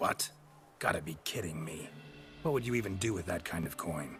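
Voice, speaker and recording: In a put-on character voice, a man delivers lines with a deadpan tone at a fairly quick pace. His raspy voice sits very deep and low, with clear background noise. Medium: video game. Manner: terse, gravelly, deadpan.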